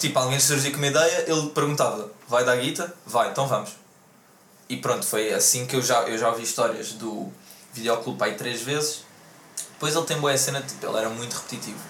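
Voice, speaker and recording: A man speaks fairly quickly at a medium pitch with ordinary pitch variation. There is noticeable background noise and audible room echo. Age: 20s. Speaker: podcast host. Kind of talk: casual chat.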